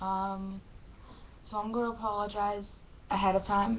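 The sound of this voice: Speaking at a fairly slow pace, a woman keeps a medium pitch with little pitch movement.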